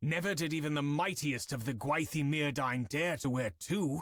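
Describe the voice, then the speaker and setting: A put-on character voice comes out as a growl. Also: man, fairly high pitch for a man, moderate pace, very clean recording, silent background. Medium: read story. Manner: earnest, concerned.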